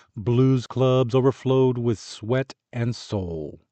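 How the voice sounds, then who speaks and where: At a very slow pace, a man speaks at a medium pitch. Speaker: audiobook narrator, voice artist. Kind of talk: audiobook narration.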